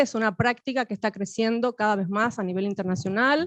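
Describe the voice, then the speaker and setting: The voice comes at a moderate pace with ordinary pitch variation. The sound is dry and close with no echo, over a quiet background. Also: woman. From Cuba. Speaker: academic panelist. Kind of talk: academic panel talk. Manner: halting, many fillers.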